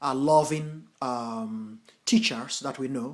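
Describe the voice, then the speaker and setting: A man talks in a fairly high pitch. He has an American accent. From US, Nigerian parents (Edo State). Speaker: Buddhist teacher and translator. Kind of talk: lecture. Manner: halting, many fillers.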